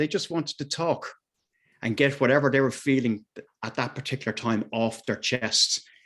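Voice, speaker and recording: In an Irish accent, a man talks at a fairly quick pace. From Ireland, Dublin. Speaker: mental health advocate. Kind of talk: personal testimony at a video meeting. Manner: halting, many fillers.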